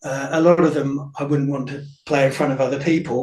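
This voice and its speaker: A man speaks at a moderate pace with a fairly high pitch. His voice is somewhat breathy and his intonation fairly even. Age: 50s. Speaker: folk musician, singer-songwriter. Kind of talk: radio interview. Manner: hesitant, many fillers.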